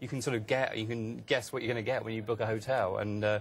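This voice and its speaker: Speaking at a very fast pace, a man uses fairly even intonation and a medium pitch. He has an English accent and sounds somewhat breathy. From England, seaside town. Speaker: author and blogger. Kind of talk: TV news interview. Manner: hesitant, many fillers.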